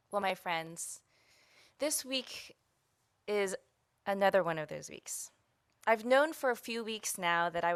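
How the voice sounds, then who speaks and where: Over a silent background on a very clean recording, a woman speaks at a moderate pace. Her pitch varies in an ordinary way, and hers is an unremarkable speaking voice. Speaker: guest minister and community organizer. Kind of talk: sermon delivered to a congregation. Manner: personal, reflective.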